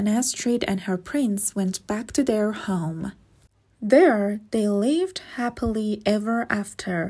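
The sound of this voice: With pitch moving in a usual way, the voice reads without forcing.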